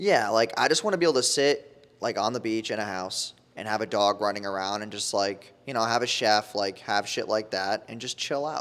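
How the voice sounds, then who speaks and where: A man with an American accent and a normal speaking voice, fairly low in pitch, at a moderate pace with hardly any pauses and ordinary pitch variation. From New York, Newburgh area. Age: 20s. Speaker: entrepreneur, ad agency founder. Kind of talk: casual interview chat. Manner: casual, slangy.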